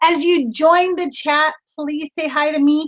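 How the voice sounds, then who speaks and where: A woman speaks loudly at an extremely high pitch and a fairly slow pace. Her tone is bright, sharp and animated. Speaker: online reseller. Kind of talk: casual livestream chat. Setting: live video stream from home studio. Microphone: new laptop setup.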